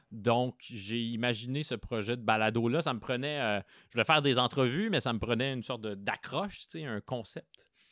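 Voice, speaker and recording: A man of medium pitch speaks at a moderate pace with ordinary pitch variation, in a dry, close sound with no echo and a very clean recording with a silent background. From Quebec, Abitibi (Rouyn-Noranda). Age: 30s. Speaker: cultural journalist and podcaster. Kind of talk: interview. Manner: hesitant, many fillers and repetitions.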